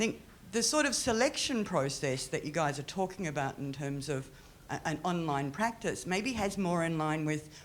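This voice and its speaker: With an Australian accent, a woman speaks at a fairly low pitch. Her pace is moderate and her intonation is lively. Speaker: audience member at panel, art curator. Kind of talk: audience question at panel discussion. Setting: museum panel with audience.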